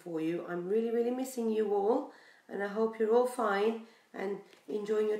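The passage is read aloud in a natural voice.

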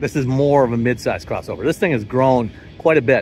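The man's voice sounds dry, with no echo, over light background noise. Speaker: auto journalist. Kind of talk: commentary. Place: street. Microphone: phone near.

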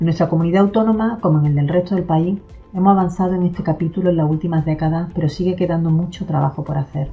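Talking at a very fast pace, a woman with a fairly low pitch is heard over faint music in the background. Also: fairly even intonation. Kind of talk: formal address. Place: office. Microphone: camera far.

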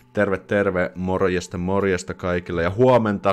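A man's very deep, low voice at a moderate pace, with fairly even intonation and faint music in the background. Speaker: live streamer. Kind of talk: casual live stream chat. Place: home room. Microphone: studio mic.

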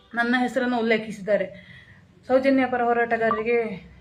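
A woman talks at a high pitch with monotone, flat intonation. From Kasaragod, Kerala (Kannada-speaking border area). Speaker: social activist. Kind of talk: live-stream monologue.

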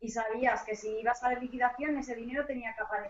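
There is light background noise and audible room echo. A woman speaks at a high pitch and moderate pace with fairly even intonation. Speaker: lawyer. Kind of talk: panel discussion. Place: home room. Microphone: too quiet, sounds far away; webcam.

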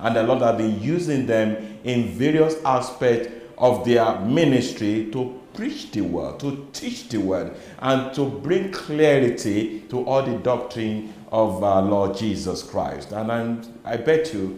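A man talks at a very slow pace with ordinary pitch variation. Room echo can be heard. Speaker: Sunday school program host. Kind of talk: religious teaching program introduction. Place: studio. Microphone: lapel.

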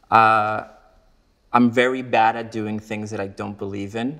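Fairly slow speech from a man. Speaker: interviewee. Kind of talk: interview answer. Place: home room.

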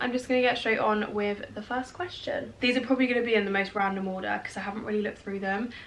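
A woman talks at a very fast pace with hardly any pauses. Her pitch varies in an ordinary way. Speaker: vlogger. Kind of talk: casual vlog chat. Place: home room.

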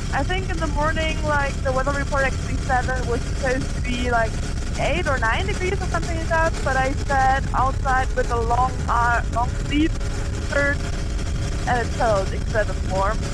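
Spoken at a moderate pace, the voice sounds dry with no echo over loud background noise. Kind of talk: casual vlog chat. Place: motorbike. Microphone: helmet.

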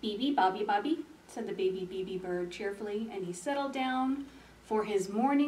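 What we hear is plain reading aloud.

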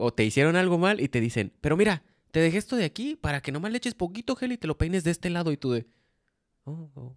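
Over a quiet background, a man speaks very fast at a high pitch with very wide pitch swings. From Mexico. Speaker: podcast co-host. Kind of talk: casual chat. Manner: casual, slangy. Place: home room. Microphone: handheld.

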